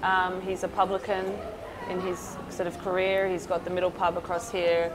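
Over noticeable background noise, a woman speaks at a moderate pace in a fairly low pitch. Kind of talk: interview answer. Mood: relaxed, warm. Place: cafe.

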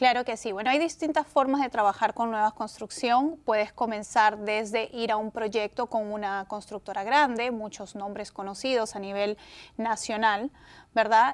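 The woman's voice sits fairly high in pitch, with ordinary variation. She keeps a moderate pace. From Peru. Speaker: real estate agent; guest. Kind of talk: interview. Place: studio.

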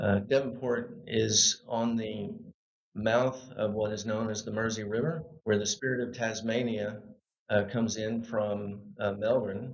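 In an American accent, a man talks at a fairly slow pace with medium pitch and monotone, flat intonation. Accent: American, little Australian. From US South, Arkansas (Little Rock). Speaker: local government executive. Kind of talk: podcast interview. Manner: halting with many fillers.

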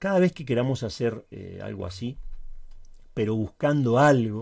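Against a quiet background, a man's dark, mellow tone comes through. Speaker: Linux tutorial YouTuber. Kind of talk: tutorial. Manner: occasional stutter and filler words.

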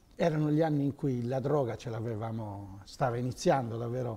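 With a dark, mellow tone, a man talks at a moderate pace, somewhat breathy, with ordinary pitch variation. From Sardinia, Sassari area; Sardinia. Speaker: former telecom manager; interview guest. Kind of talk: interview. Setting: TV studio. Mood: relaxed, smiling. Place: studio. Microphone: lapel.

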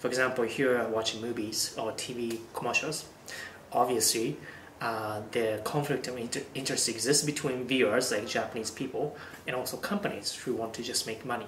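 A man at a moderate pace with fairly even intonation, audible room echo, and light background noise. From Japan. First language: Japanese. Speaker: YouTuber. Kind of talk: vlog monologue. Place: home room.

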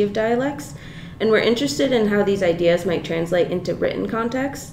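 A woman speaks at medium pitch with ordinary pitch variation. Light background noise and room echo can be heard. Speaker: graduate student interviewer; student interviewer. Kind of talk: interview. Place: meeting room. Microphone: camera far.

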